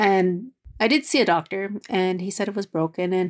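A woman with an ordinary speaking voice talks at a moderate pace and a medium pitch with ordinary pitch variation, recorded very clean against a silent background with a dry, close sound and no echo. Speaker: reporter. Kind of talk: interview.

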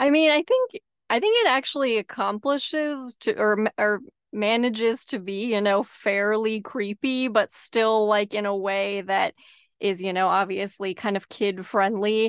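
An unremarkable speaking voice moves at a fairly slow pace. Its pitch variation is ordinary. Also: woman, fairly high pitch for a woman. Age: 30s. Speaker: podcast host. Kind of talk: casual interview.

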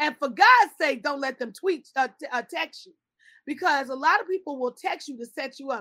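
A woman with an American accent talks at a fairly quick pace in a raised, projected voice. Her high pitch carries a bright, sharp tone and lively intonation. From Chicago. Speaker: pedicurist and skincare entrepreneur. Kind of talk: interview.

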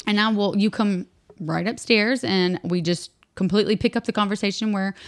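A woman with an American accent uses an ordinary speaking voice at a medium pitch and moderate pace. The recording is very clean, with a silent background. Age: 30s. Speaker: podcast co-host. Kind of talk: casual chat.

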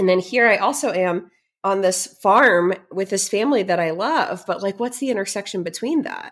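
A woman with a Midwestern American accent talks at a fairly quick pace with lively intonation and a medium pitch. The recording is very clean, with a silent background. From US Midwest, St. Louis area. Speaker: motivational speaker and entrepreneur. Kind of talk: interview conversation.

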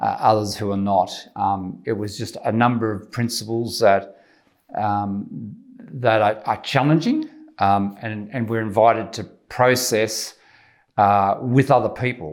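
At a fairly slow pace, a man speaks with a medium pitch and fairly even intonation. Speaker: church member giving testimony. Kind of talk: testimony. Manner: halting, hesitant.

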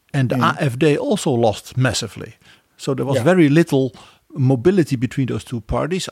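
A man's somewhat breathy, medium-pitched voice with a Dutch accent and ordinary pitch variation, in a dry, close sound with no echo. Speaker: podcast co-host, historian. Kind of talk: interview.

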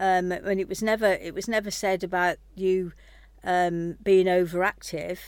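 A woman with a British accent speaks in a medium pitch with monotone, flat intonation. The recording is very clean with a silent background. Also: moderate pace. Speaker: host's mother. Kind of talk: casual interview chat.

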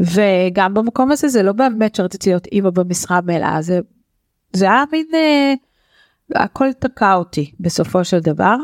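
A woman uses an ordinary speaking voice at a medium pitch, with lively intonation, very even loudness and a fairly slow pace. The recording is very clean with a silent background, and the sound is dry and close with no echo. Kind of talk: casual chat.

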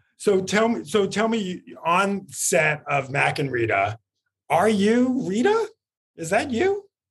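Very slowly, a high-pitched man with an American accent speaks with very wide pitch swings. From New York. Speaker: entertainment podcast host. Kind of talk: casual interview chat. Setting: video call from office.

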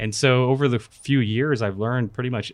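A man with an American accent and a normal speaking voice, fairly quick pace, fairly even intonation, over a quiet background. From California. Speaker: real estate software product manager. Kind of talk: casual chat; tutorial. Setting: studio.

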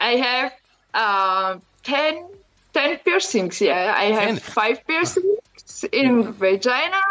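Her loudness very even, a woman speaks very slowly in a high voice with very wide pitch swings and long, frequent pauses. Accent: Croatian. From Croatia. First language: Croatian. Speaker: adult film performer. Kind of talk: radio interview. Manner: halting, searching for English words.

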